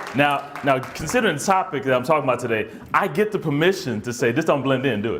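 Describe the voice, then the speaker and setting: Amid noticeable background noise and audible room echo, a man rattles along at a very fast pace with lively intonation. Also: fairly high pitch for a man. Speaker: therapist and conference speaker. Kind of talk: conference talk.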